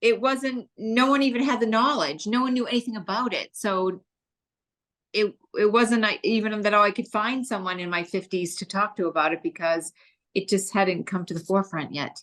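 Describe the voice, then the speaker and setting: Her medium pitch and ordinary pitch variation carry as this woman speaks at a moderate pace. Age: 60s. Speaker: cancer survivor. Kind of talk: interview. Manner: hesitant, many fillers.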